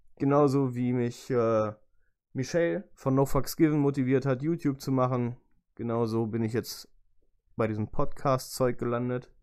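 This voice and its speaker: Against a quiet background, a man speaks at a moderate pace. His medium pitch holds fairly even intonation. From Lower Saxony, Germany (Göttingen). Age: 20s. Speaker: podcast host and motorsport photographer. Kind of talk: casual solo podcast monologue. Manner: chatty, talkative; hesitant fillers.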